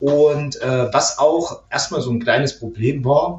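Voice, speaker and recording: Somewhat breathy, a man talks at a fairly slow pace and fairly high pitch with fairly even intonation. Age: 30s. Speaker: IT administrator and host father. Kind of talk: casual interview.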